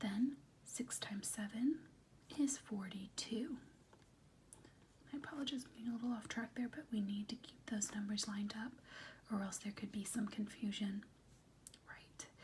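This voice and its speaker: Soft-spoken and gentle in tone, at a moderate pace with long, frequent pauses. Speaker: teacher / tutor (role play). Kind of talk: role-play math lesson, tutoring a student. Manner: soft-spoken, gentle, patient.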